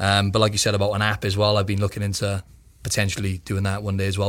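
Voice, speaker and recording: Very fast, monotone, flat speech from a man with a British accent at a fairly low pitch, on a very clean recording with a silent background. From UK. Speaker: physique competitor. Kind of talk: interview conversation.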